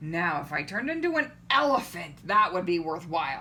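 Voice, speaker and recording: Speaking at a moderate pace and middle pitch, a female-sounding voice performs a put-on character voice over clear background noise. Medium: read story. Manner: fretful.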